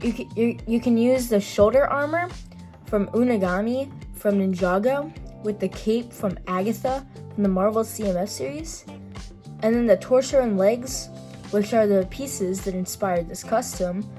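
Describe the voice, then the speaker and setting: A woman's intonation is lively, with music playing in the background. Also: medium pitch for a woman, moderate pace. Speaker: toy figure customizer. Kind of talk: casual hobby tutorial to camera.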